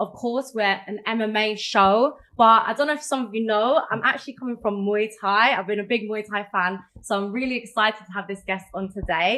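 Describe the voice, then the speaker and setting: A woman with a South London accent speaks at a fairly quick pace with hardly any pauses. Her pitch is fairly high with ordinary variation, and there is noticeable background noise. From South London, England. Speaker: MMA show host. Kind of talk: casual interview chat. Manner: animated.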